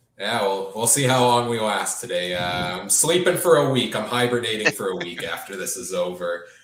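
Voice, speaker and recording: Lively intonation marks this man's speech, with hardly any pauses. Audible room echo surrounds his voice. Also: medium pitch for a man, moderate pace. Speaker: podcast host. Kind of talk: live sports talk show. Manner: hesitant, many filler uhs.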